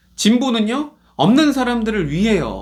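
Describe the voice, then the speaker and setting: The recording is very clean, with a silent background. A man talks fairly slowly, his pitch varying in an ordinary way. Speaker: pastor. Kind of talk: sermon. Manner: animated.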